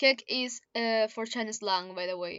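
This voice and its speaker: A woman's fairly high-pitched voice with a Spanish accent and lively intonation. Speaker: YouTuber reading own fanfiction. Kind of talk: reading aloud with commentary. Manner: halting, many self-corrections.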